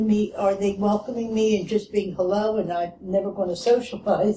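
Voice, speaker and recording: This voice carries a Philadelphia accent. The pace is moderate. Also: woman. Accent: Philadelphia American English. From US Northeast, Philadelphia. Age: 80s+. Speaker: retired discussion participant. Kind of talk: group discussion.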